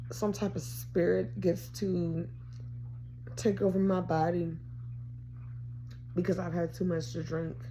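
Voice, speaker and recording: At a moderate pace, a woman speaks amid audible room echo. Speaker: vlogger. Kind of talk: casual vlog monologue.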